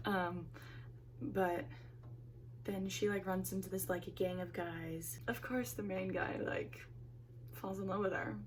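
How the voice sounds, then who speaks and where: Long, frequent pauses break up a woman's speech, and audible room echo surrounds her. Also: fairly slow pace. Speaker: book YouTuber. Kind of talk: casual vlog chat. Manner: animated.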